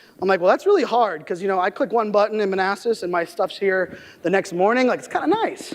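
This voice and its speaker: A loud, energetic voice goes at a very fast pace. Noticeable background noise runs underneath. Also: man. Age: 30s. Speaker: keynote speaker on digital marketing. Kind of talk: keynote speech.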